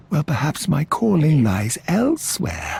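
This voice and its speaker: A put-on character voice at a middle pitch moves along at a fairly slow pace. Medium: video game. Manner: humble, reverent.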